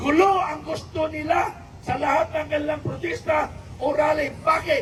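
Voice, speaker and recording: A shouting man, extremely high in pitch, at a moderate pace, amid noticeable background noise. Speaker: political commentator. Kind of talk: political speech to viewers. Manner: not raising voice, for clarity.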